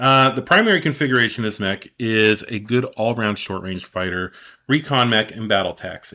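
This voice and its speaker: A man's bright, sharp voice at medium pitch, with ordinary pitch variation, against a quiet background. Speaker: podcast host. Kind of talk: reading aloud. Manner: fast.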